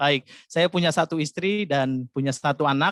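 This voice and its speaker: Speaking at a moderate pace with a Javanese accent, a man with a fairly high pitch comes through with a dry, close sound and no echo. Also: quiet background. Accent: Javanese-tinged Indonesian. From Jakarta, Indonesia (Batak family). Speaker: pastor. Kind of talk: sermon.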